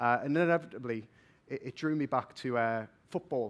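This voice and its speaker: A man with a Geordie accent, medium pitch and ordinary pitch variation, on a very clean recording with a silent background. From northern England, Newcastle. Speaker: vocational assessment innovation manager. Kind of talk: conference talk. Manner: fast.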